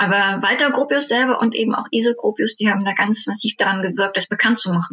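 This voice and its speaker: Barely pausing at all, a woman talks at a very fast pace with ordinary pitch variation. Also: fairly high pitch for a woman. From Germany, Dessau (Saxony-Anhalt). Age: 30s. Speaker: tour guide and art historian. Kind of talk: podcast interview.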